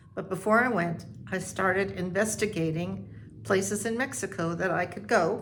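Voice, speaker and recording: Speaking at a fairly slow pace in an American accent, a woman with a medium pitch is heard with audible room echo. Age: 80s+. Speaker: retiree vlogger. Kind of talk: personal storytelling. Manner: halting.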